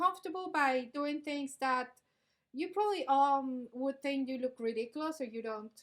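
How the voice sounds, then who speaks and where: Speaking with a non-native accent, a woman uses a high pitch and lively intonation at a moderate pace. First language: not English. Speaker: business vlog co-host. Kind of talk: casual discussion.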